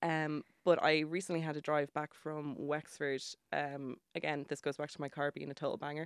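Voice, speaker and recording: Using a very deep, low pitch and a Dublin accent, a woman speaks at a moderate pace in a monotone, flat intonation, with a dry, close sound and no echo. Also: very clean recording, silent background. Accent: Irish (Dublin). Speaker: journalist and music writer. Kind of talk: casual radio interview. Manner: chatty, laughing often.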